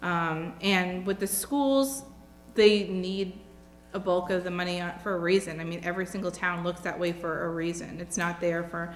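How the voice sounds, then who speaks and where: With music playing behind her, a woman speaks at a moderate pace in an American accent, her fairly low pitch carrying fairly even intonation. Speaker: job candidate interviewee. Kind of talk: job interview.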